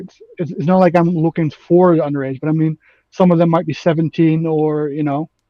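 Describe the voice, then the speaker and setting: A man speaks with a slight Dutch accent at a moderate pace. His pitch is fairly high and his intonation fairly even. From Netherlands. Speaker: online gamer debating politics. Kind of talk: casual debate. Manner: halting, many fillers.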